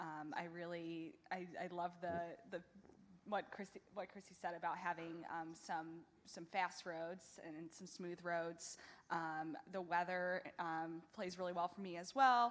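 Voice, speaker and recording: A woman's fairly low voice in a Midwestern American accent, fairly slow in pace, with fairly even intonation. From US Midwest. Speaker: wheelchair marathon athlete. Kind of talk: press conference answer. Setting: press conference.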